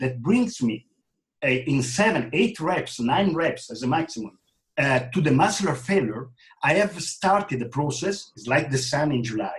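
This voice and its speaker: Very wide pitch swings at a moderate pace in a somewhat breathy voice. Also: man. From Italy. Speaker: fitness trainer. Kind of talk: interview. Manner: halting.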